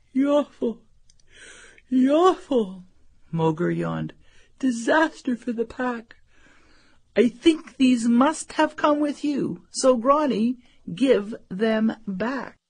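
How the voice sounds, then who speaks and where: In a put-on character voice, a woman speaks at a very slow pace with a high pitch and long, frequent pauses. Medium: read story.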